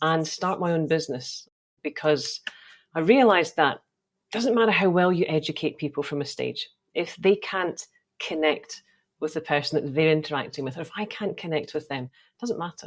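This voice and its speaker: Big swings in loudness and ordinary pitch variation, with a slight Scottish accent, on a very clean recording with a silent background. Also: woman, very deep, low pitch for a woman, moderate pace. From Scotland. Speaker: optometrist and sales coach. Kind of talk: podcast interview.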